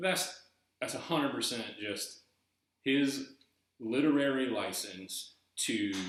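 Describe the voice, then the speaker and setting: With a slight Southern US accent, a man speaks very slowly at medium pitch, leaving long, frequent pauses. Audible room echo colors the recording. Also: ordinary pitch variation. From eastern North Carolina, US South. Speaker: YouTuber discussing treasure hunt book. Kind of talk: casual video monologue. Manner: halting, repeating words.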